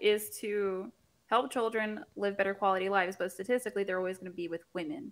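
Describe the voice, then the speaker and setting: A woman talks at a fairly quick pace with an American accent. She has an unremarkable speaking voice, pitched fairly high. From US South, Central Florida. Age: 20s. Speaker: YouTuber, guest. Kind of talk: casual chat.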